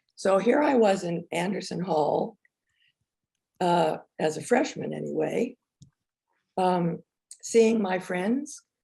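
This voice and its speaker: A woman's medium-pitched voice with a dark, mellow tone, vocal fry, lively intonation, a very slow pace, and long, frequent pauses. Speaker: filmmaker and former teacher. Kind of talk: talk to an audience. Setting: virtual presentation.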